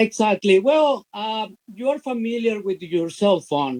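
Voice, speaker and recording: Recorded dry and close with no echo, a man speaks at a very slow pace. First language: Spanish. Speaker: business opportunity promoter. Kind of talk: interview. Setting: live stream. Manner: halting, many fillers.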